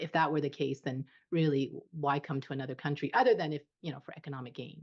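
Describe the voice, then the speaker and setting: Against a quiet background, someone with a Canadian accent talks at a very fast pace, with fairly even intonation and big swings in loudness. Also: woman, very deep, low pitch for a woman. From Canada. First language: Cantonese. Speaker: immigration consultant. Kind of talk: interview.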